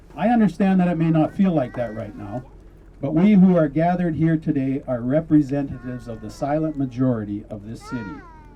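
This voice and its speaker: A man's fairly high-pitched voice with a Canadian accent, at a moderate pace with ordinary pitch variation, over noticeable background noise. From Canada, Abbotsford, British Columbia. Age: 60s. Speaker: city councillor. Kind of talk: public speech.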